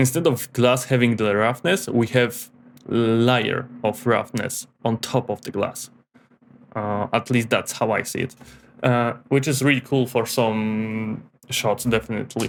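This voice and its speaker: This man's speech goes along fairly slowly. He has a non-native accent. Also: medium pitch for a man, fairly even intonation. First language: not English. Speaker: 3D graphics tutorial creator. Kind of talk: tutorial. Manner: hesitant, with fillers and repetitions.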